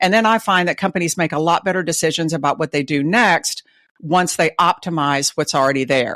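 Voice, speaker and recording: A woman with a Texas accent speaks at a fairly quick pace in a fairly low pitch with ordinary pitch variation and very even loudness, the sound dry and close with no echo on a very clean recording with a silent background. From Texas (Dallas). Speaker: retail advisor. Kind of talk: interview.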